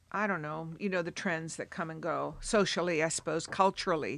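A woman's fairly low-pitched voice with vocal fry, a fairly quick pace and fairly even intonation, on a very clean recording with a silent background. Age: 70s. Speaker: literature professor. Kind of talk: interview. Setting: studio.

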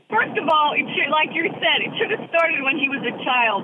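Steady background noise is clearly heard. Over it, a woman talks in a high voice. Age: 60s. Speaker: caller, former business owner. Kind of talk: radio call-in. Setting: phone call from a car. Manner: animated.

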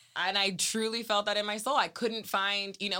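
With an American accent, the speaker talks at a fairly quick pace in an animated, bright, sharp tone. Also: woman, very clean recording, silent background. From Salinas, California. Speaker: city council candidate. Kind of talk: interview. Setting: studio.

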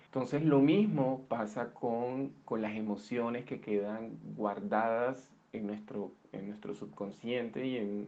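A man at a medium pitch, speaking at a very slow pace. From Colombia, Barranquilla (Caribbean coast). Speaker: interviewee sharing illness story. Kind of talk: personal testimony. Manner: halting, many repetitions and fillers.

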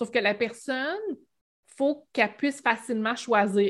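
Her pitch moves in an ordinary way as the woman talks at a moderate pace. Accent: Quebec. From Quebec, Bas-Saint-Laurent (Rimouski). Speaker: Shopify expert, web entrepreneur. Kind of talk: casual interview.

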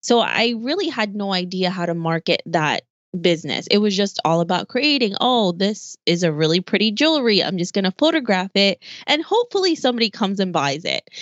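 With lively intonation and a fairly quick pace, a woman speaks at medium pitch in an unremarkable speaking voice. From Philippines, raised partly there before moving to the US. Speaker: podcast host and online entrepreneur. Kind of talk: interview.

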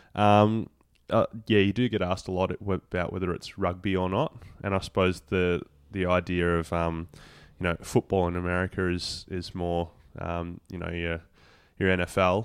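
Very deep and low, a man's voice with an Australian accent keeps a monotone, flat delivery at a moderate pace over a quiet background. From Tasmania, Australia (Devonport). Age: 20s. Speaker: professional footballer. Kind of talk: interview.

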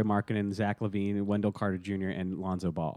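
A man with an unremarkable speaking voice talks at a fairly quick pace. His pitch is fairly low, and the background is quiet. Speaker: podcast co-host. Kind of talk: casual banter.

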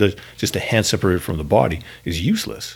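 With lively intonation, a man speaks at a fairly low pitch. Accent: Canadian. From Canada. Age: 40s. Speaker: pastor. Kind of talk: casual chat. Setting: church building.

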